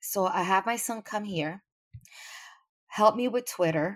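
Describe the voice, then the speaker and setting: On a very clean recording with a silent background, a woman with a New York accent speaks fairly slowly at a fairly high pitch, with ordinary pitch variation. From New York City. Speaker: podcast listener. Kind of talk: interview.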